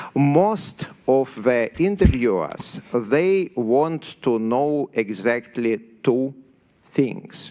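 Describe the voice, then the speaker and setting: In a strong Siberian accent, a man speaks at a very slow pace and a medium pitch. His tone is dark and mellow, and his intonation is lively. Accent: severe Siberian. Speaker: software developer. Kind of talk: conference talk. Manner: halting, many fillers.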